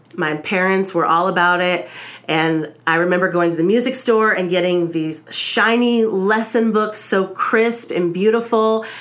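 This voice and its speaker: A woman talks at a moderate pace, with audible echo in the room. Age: 30s. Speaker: podcast host. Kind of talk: casual chat. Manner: halting.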